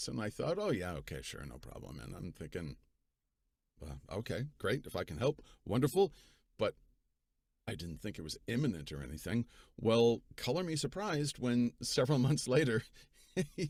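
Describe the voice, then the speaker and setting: A man's medium-pitched voice with vocal fry, very wide pitch swings and big swings in loudness, at a moderate pace with long, frequent pauses. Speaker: audiobook narrator. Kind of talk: casual talk to camera.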